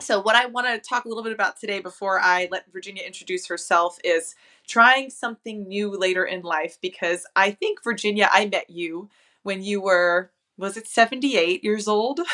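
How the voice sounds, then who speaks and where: This woman's voice has a medium pitch with ordinary variation and a bright, sharp tone. She sounds enthusiastic and keeps a moderate pace. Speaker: fitness trainer. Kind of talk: interview host talk.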